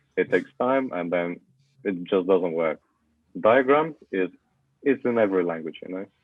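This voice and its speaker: A man with a very deep, low voice speaks at a moderate pace with lively intonation. He leaves long, frequent pauses. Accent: Russian. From Russia. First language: Russian. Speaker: university student. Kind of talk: podcast interview.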